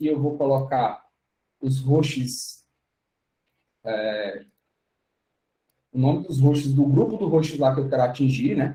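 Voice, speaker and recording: The voice has a dark, mellow tone with a somewhat breathy quality. It moves at a fairly slow pace. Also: man. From Brazil, Fortaleza (Ceará). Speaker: tech speaker, DevOps engineer. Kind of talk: online tech talk tutorial.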